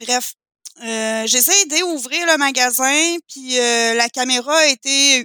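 Loud and projected, a woman speaks at a very slow pace with a bright, sharp tone and a high pitch, the sound dry and close with no echo. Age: 30s. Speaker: photographer. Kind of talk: casual chat.

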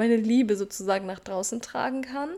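An unremarkable speaking voice with fairly even intonation comes through on a very clean recording with a silent background. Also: woman. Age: 20s. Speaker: self-development podcaster. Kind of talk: casual personal monologue.

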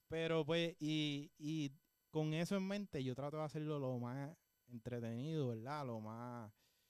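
This man has a plain, everyday voice, pitched fairly high with ordinary pitch variation. He talks at a fairly slow pace. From Puerto Rico, Juana Díaz. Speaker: musician and music teacher. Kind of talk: interview. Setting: studio.

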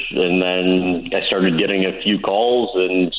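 A man speaks in a very deep, low voice with noticeable background noise behind him. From St. Louis, US Midwest. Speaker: sports interviewer. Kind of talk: casual interview.

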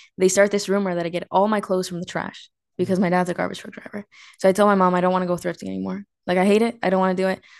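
Against a quiet background, a woman speaks at a very fast pace in a monotone, flat intonation. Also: medium pitch for a woman. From US, Mexican-American family. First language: Spanish. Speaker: podcast host. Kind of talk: casual chat, date conversation.

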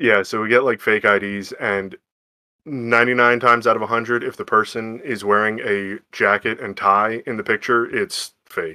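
Against a quiet background, a man speaks in an ordinary speaking voice at medium pitch. His pace is moderate and his intonation fairly even. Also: dry, close sound with no echo. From eastern Pennsylvania, Lehigh Valley. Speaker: credit card underwriter, darts league player. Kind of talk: casual chat.

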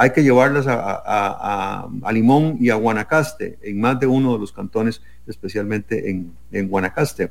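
A man with a plain, everyday voice, a fairly slow pace, ordinary pitch variation and hardly any pauses. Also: medium pitch for a man. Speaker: presidential candidate. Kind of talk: political debate.

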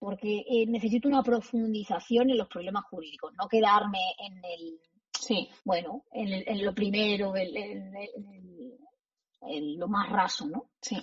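Speaking very slowly, a woman uses a somewhat breathy voice at a medium pitch, with ordinary pitch variation and big swings in loudness. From Spain, Extremadura. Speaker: law professor. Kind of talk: interview.

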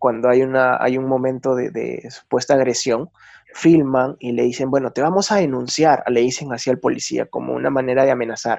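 A man's medium-pitched voice, fairly quick, with fairly even intonation. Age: 30s. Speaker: photojournalist. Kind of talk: interview. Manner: halting.

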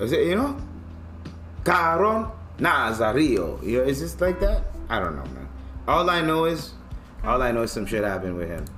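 A man's voice broken by long, frequent pauses, with music playing in the background. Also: moderate pace. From African heritage. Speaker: podcast host. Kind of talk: casual rant. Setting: home studio. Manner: animated; loud.

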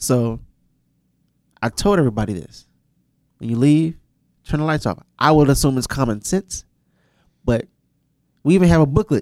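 Speaking at a moderate pace with long, frequent pauses, a man uses lively intonation at a fairly high pitch, in a dry, close sound with no echo. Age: 30s. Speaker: podcast co-host, studio manager. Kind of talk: casual chat.

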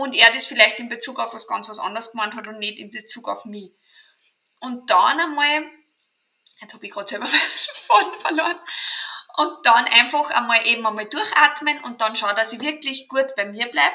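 Speaking with an Austrian accent, a woman uses a fairly high pitch, ordinary pitch variation and a moderate pace, with big swings in loudness and long, frequent pauses. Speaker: mental trainer and kinesiologist. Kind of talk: interview.

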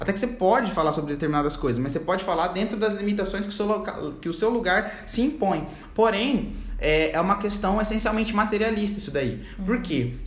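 A man with a high pitch speaks at a fairly quick pace with lively intonation. Audible room echo and noticeable background noise surround him. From Brazil, Campo Grande, Mato Grosso do Sul. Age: 20s. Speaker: law student. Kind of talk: podcast interview. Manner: halting.

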